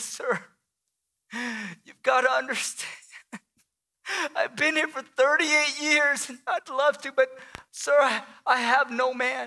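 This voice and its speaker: In a shaky put-on character voice, a woman speaks high and fairly slowly, with big swings in loudness and long, frequent pauses. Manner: desperate, pleading.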